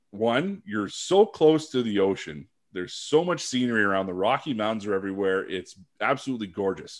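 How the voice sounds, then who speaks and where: A man's normal speaking voice with a Canadian accent, medium pitch and lively intonation, at a fairly quick pace on a very clean recording with a silent background. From Northern Ontario, Canada (Sudbury). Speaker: sports podcast host, former football player. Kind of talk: casual chat.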